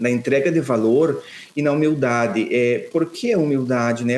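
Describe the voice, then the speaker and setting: Speaking with a southern Brazilian accent, a man keeps a moderate pace and ordinary pitch variation. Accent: gaúcho (southern Brazilian). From Rio Grande do Sul, Brazil (São Borja, western border). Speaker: financial planner, former bank manager. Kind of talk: podcast interview.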